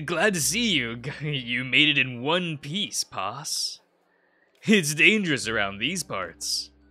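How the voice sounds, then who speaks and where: A man puts on a gravelly character voice, pitched fairly high, with very wide pitch swings. He goes at a fairly slow pace while music plays in the background. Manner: friendly, warning.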